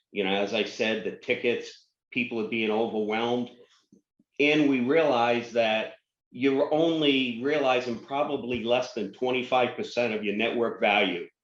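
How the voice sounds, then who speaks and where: A man speaks at a moderate pace in an unremarkable speaking voice, medium in pitch with ordinary pitch variation. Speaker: networking vendor representative. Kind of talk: webinar presentation.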